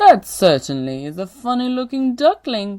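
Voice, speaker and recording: In a put-on character voice, a female-sounding speaker talks at a moderate pace with a high pitch for a woman. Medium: read story.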